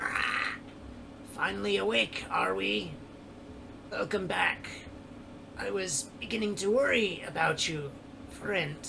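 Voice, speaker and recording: A man's put-on character voice at a fairly high pitch, at a fairly slow pace with long, frequent pauses, over clear background noise. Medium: actual play. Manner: gentle, friendly.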